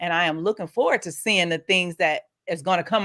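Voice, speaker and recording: With a bright, sharp tone and a fairly low pitch, a woman talks at a fairly quick pace in an animated tone, the sound dry and close with no echo on a very clean recording with a silent background. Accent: slight Southern US. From US Midwest, Saint Louis influence. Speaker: podcast host. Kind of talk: casual interview chat.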